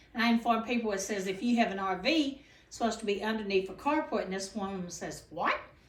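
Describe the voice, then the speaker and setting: A woman's very fast speech with an American accent, ordinary pitch variation, big swings in loudness and audible room echo. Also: fairly high pitch for a woman. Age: 60s. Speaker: property owner and community activist. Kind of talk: casual informational talk.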